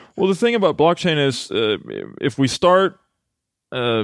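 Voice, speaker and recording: The sound is dry and close, with no echo. A man with a Swedish accent speaks at a moderate pace, his pitch swinging very widely. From Sweden, Halmstad. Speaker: blockchain company executive. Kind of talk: podcast interview. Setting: in-person recording in Gothenburg.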